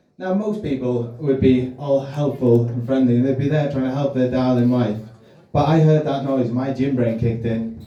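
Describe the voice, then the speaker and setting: A man at medium pitch with ordinary pitch variation, a moderate pace and audible room echo. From Wales. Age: 30s. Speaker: stand-up comedian. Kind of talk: stand-up. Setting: stage with audience.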